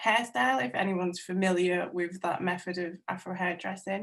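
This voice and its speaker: Against a quiet background, a woman talks with a North Welsh accent. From North Wales. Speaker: textile artist. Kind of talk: webinar talk about own artworks.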